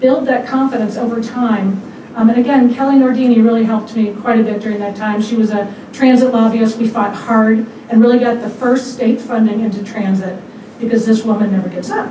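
With an American accent, a woman at a fairly high pitch talks in a monotone, flat intonation, with audible room echo and light background noise. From Missouri. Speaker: former state legislator and environmental lawyer; environmental lawyer. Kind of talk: award acceptance speech. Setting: event venue with audience. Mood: warm, grateful. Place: hall.

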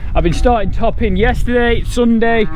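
A high-pitched man at a fairly quick pace, with a dry sound, no echo and light background noise. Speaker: farmer vlogger. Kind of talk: casual vlog chat. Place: farm machine. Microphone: phone near.

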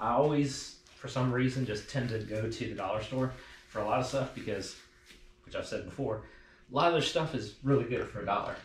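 Amid audible room echo and light background noise, a man talks at a fairly quick pace with ordinary pitch variation. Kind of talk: casual vlog tutorial. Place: garage.

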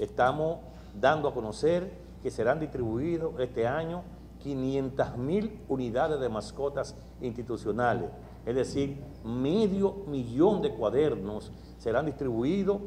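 The pace is very slow. A man speaks over light background noise. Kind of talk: press conference statement. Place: hall. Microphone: handheld.

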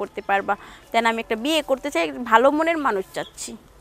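Lively intonation in a dry sound with no echo. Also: woman. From Bangladesh, Narail; Bangladesh. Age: 20s. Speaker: garment worker; interviewee. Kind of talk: interview. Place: garden.

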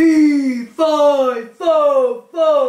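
Pitched high, the voice is a put-on character act. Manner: bawling, booming.

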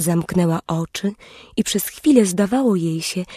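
A woman speaks in a gentle, somewhat breathy tone with lively intonation, recorded dry and close with no echo. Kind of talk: bedtime story audiobook narration. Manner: slow, soft, gentle storyteller's pacing.

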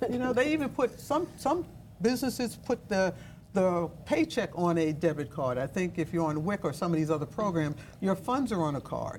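A woman with a fairly low voice talks at a fairly quick pace. Her pitch swings very widely, with light background noise behind her. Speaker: Olympic basketball player and activist; guest. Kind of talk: panel discussion. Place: studio. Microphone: lapel.

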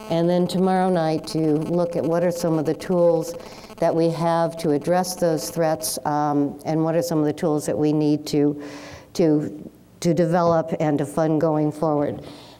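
A woman with an American accent, fairly low in pitch and dark, mellow in tone, speaking fairly slowly in a monotone, flat delivery at very even loudness. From United States. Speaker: retired ambassador and public policy lecturer. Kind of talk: lecture. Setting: stage with audience. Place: hall. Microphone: podium.

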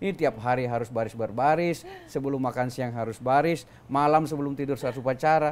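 This man talks at a very fast pace with hardly any pauses and fairly even intonation. His pitch is medium, and light background noise can be heard. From South Sulawesi, Bone regency (Bugis); South Sulawesi. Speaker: senior government official; interviewee. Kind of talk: interview. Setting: office with open windows. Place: studio. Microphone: lapel.

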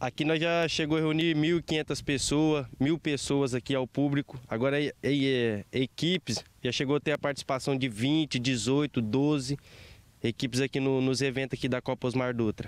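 In a dry sound with no echo, a man with a fairly high pitch for a man talks at a moderate pace, his intonation fairly even and his loudness very even. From Brazil. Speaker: amateur football tournament organizer. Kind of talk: news interview. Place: open country. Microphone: handheld.

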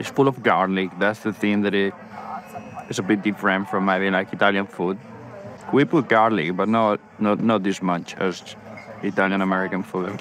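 Here a man speaks in a fairly low pitch with fairly even intonation and a moderate pace. Faint music plays in the background of a dry sound with no echo. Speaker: food vlogger. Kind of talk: casual vlog chat. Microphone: phone near.

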